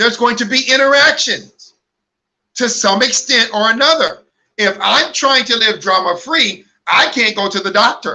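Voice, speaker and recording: The voice is raised and projected, with a bright, sharp tone. It moves at a moderate pace and sounds animated. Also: man, extremely high pitch for a man, ordinary pitch variation. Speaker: online ministry host. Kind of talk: livestream talk. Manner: loud.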